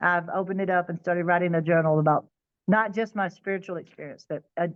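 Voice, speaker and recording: This is a woman with an American accent. Her pitch sits at a medium level. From Texas. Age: 50s. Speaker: near-death experience survivor. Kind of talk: interview testimony. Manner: halting, self-correcting.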